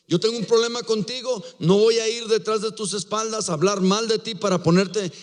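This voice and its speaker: A man speaks at a fairly quick pace. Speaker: pastor. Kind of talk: sermon.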